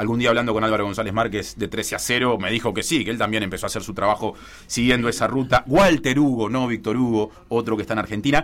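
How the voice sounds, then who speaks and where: A man with an Uruguayan accent speaks at a very fast pace, hardly pausing. His voice sits at a medium pitch with fairly even intonation. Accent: Uruguayan Rioplatense Spanish. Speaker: sports journalist and football commentator. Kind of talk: radio column, casual discussion.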